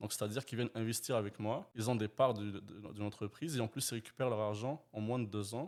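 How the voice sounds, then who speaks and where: A man rushes along at a very fast pace with hardly any pauses and fairly even intonation. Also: medium pitch for a man. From Quebec. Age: 20s. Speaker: real estate investor. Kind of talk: interview.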